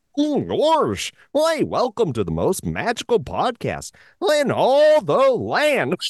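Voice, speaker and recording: In a put-on character voice with a fairly high pitch, the speaker sounds cheerful against a quiet background. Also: fairly slow pace. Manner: goofy, cheerful.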